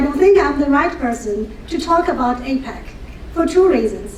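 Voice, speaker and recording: The woman's pitch is high and her pace is moderate. Audible room echo and noticeable background noise surround her voice. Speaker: trade representative. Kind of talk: keynote speech. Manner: formal.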